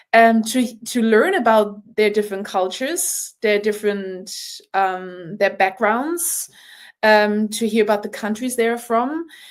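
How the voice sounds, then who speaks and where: A woman talks at a fairly high pitch with ordinary pitch variation. She speaks with a German accent. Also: fairly slow pace, very clean recording, silent background. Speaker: rugby player. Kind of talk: podcast interview. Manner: animated.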